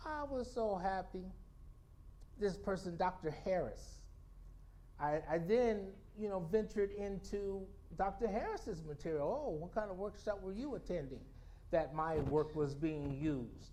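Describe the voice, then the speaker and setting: A man with a high pitch and a dark, mellow tone speaks at a fairly slow pace with lively intonation and long, frequent pauses, in a room with audible echo. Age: 60s. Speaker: storyteller. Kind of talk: spoken-word talk to a congregation. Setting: spiritual center service with congregation. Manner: halting, with frequent repetitions and fillers.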